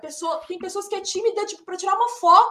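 A woman's extremely high pitch, with very wide pitch swings and a bright, sharp tone. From Minas Gerais, Brazil. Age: 30s. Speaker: English teacher, actress and voice actor. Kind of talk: casual chat.

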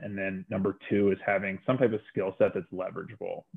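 Fairly quick and fairly low in pitch, a man talks in an unremarkable speaking voice. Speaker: company finance executive. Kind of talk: interview.

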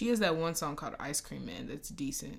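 Lively intonation and vocal fry from a woman with fairly low pitch at a moderate pace. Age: 20s. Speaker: podcast host. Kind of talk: casual chat.

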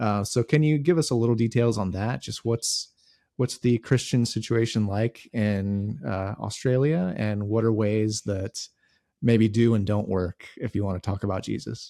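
A man with an American accent speaks at a moderate pace in a dark, mellow tone, fairly low in pitch with ordinary pitch variation, in a very clean recording with a silent background and a dry, close sound with no echo. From United States. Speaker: podcast host. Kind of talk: interview.

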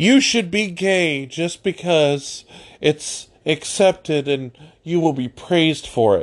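Very slowly, a man speaks in a high pitch with lively intonation. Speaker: political commentator podcaster. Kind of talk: angry political rant, monologue. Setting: solo at a microphone. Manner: furious, seething, barely holding back cussing; emphatic, fired-up, defiant.

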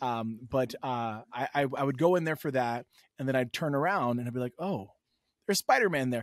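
Recorded very cleanly against a silent background with a dry, close sound and no echo, a man with an American accent uses an unremarkable speaking voice, moving at a fairly quick pace with ordinary pitch variation. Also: medium pitch for a man. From New York City. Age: 30s. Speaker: comic book content creator. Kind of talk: casual chat.

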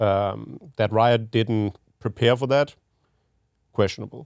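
In a Danish accent, a man talks at a fairly slow pace with a fairly low pitch and ordinary pitch variation, the sound dry and close with no echo. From Denmark. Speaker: esports team general manager. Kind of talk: casual podcast chat. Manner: halting with repeated words.

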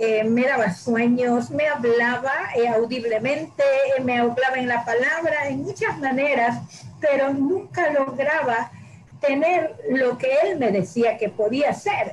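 At a very slow pace, a woman speaks at high pitch with ordinary pitch variation against noticeable background noise. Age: 60s. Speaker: church member giving testimony and teaching. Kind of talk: testimony and Bible teaching.

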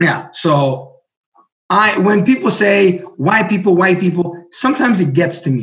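A man with a high pitch and lively intonation, his loudness very even throughout. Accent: Greek. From Burundi, with Greek mother. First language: Greek. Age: 30s. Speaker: writer. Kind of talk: casual chat.

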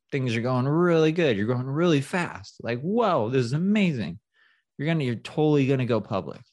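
A man with an ordinary speaking voice, moderate pace and lively intonation, against a quiet background. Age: 30s. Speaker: startup founder and CEO. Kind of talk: casual interview.

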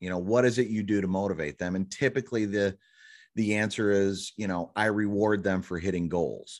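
Speaking at a fairly quick pace against a quiet background, a man uses a plain, everyday voice with fairly low pitch and fairly even intonation. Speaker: podcast host. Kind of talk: casual interview chat.

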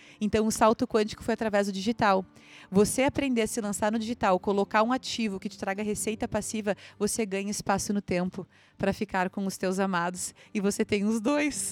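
In a very clean recording with a silent background and a dry, close sound with no echo, a plain, everyday voice moves at a fairly quick pace. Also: woman. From southern Brazil (Santa Catarina, childhood in Rio Grande do Sul). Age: 30s. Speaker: entrepreneur. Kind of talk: interview testimony. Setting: live event recording.

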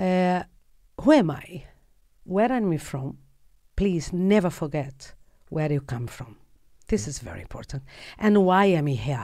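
On a very clean recording with a silent background, a woman with a dark, mellow tone and a fairly low pitch speaks at a fairly slow pace, her pitch swinging very widely and her loudness shifting greatly between long, frequent pauses. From Brazil. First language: Portuguese. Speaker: actress and producer. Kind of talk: casual interview. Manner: animated; halting.

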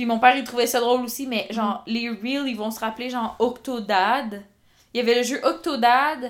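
A woman talks at a moderate pace. Her voice sits high in pitch. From rural Quebec. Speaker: podcast co-host. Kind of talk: casual chat. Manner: animated.

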